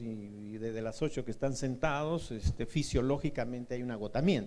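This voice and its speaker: With audible room echo, a man speaks at a moderate pace in a dark, mellow tone with ordinary pitch variation. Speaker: university lecturer. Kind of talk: lecture.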